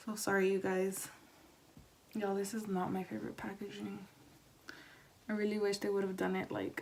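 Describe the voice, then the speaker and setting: A soft-spoken voice moves at a fairly quick pace but leaves long, frequent pauses. Noticeable background noise is present. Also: woman. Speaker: beauty vlogger. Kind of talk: tutorial.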